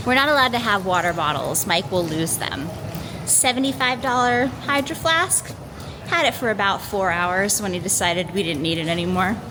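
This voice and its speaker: Her pitch swings very widely as a woman speaks with an American accent. Room echo is audible, and background noise is noticeable. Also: medium pitch for a woman, moderate pace. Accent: Michigan accent, usually hidden. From Michigan, US. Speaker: travel vlogger. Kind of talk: travel vlog. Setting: airport. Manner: animated.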